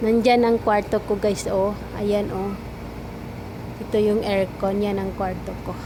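A woman at medium pitch, fairly slow and monotone with flat intonation, amid noticeable background noise and audible room echo. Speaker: vlogger. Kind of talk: casual vlog tour. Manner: halting Tagalog.

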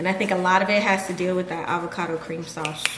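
A woman talks at a fairly quick pace in a monotone, flat intonation. Noticeable background noise runs underneath. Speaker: home cook vlogger. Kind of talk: casual vlog chat. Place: kitchen. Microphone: camera far.

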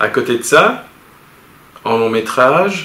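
Amid light background noise and audible room echo, a man speaks very slowly in a fairly low voice with lively intonation. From Belgium, Charleroi; Belgium. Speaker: animation studio boss. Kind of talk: interview. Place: office.

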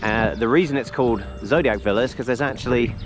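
A man at a very fast pace, dry sound with no echo, faint music in the background. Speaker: travel vlogger. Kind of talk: casual vlog chat. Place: open country. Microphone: phone near.

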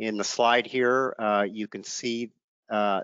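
The man's delivery is monotone and flat at a fairly slow pace, the sound dry with no echo and the background quiet. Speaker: state environmental regulator. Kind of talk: lecture. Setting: video webinar. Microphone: headset.

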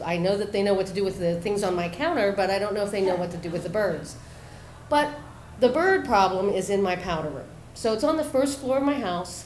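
Over light background noise and audible room echo, a woman talks at a very fast pace with lively intonation. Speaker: storyteller. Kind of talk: storytelling performance. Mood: humorous, animated. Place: bar.

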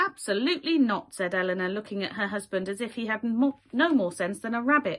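Lively intonation marks an unforced reading voice.

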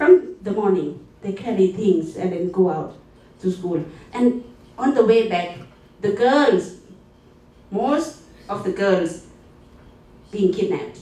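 A woman with a Thai accent, very slow with long, frequent pauses, ordinary pitch variation and audible room echo. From Thailand. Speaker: conference presenter. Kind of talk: conference presentation. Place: meeting room.

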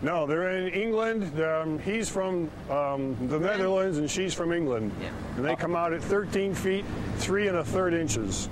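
With noticeable background noise but a dry sound with no echo, a man speaks slowly-ish, at a fairly slow pace, in a high pitch with ordinary pitch variation. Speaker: news interviewee. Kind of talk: interview answer. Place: street.

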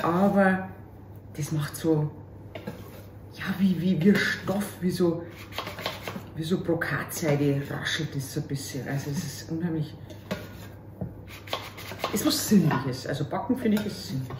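A woman with a Bavarian accent and a very deep, low pitch, lively intonation, long, frequent pauses and noticeable background noise. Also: fairly slow pace. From Upper Bavaria, Germany. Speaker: cabaret artist. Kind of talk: casual talk to camera, cooking video. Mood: cheerful, joking. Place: kitchen. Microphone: camera far.

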